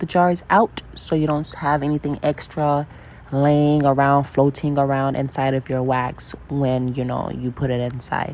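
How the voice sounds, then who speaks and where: A woman's dark, mellow tone at a moderate pace, with fairly even intonation. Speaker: candle-making vlogger. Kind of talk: tutorial. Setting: at home at night. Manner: quiet, hushed; halting, many fillers.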